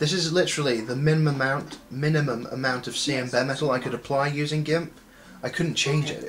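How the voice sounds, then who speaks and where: Fairly high-pitched with a plain, everyday voice, a man speaks quickly enough to count as a fairly quick pace, keeping his intonation fairly even. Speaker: gaming video creator. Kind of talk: gameplay commentary.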